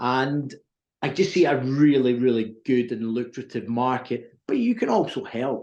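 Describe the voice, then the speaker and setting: A man with an American accent speaks at a fairly slow pace with ordinary pitch variation. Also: medium pitch for a man. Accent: Scottish with a slight American twang. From Scotland. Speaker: recruitment business owner. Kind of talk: interview.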